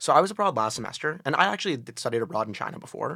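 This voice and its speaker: A man with an American accent talks at a very fast pace and medium pitch in a bright, sharp tone. The recording is very clean, with a silent background. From New Haven, Connecticut. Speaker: college student on a date. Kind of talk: casual chat.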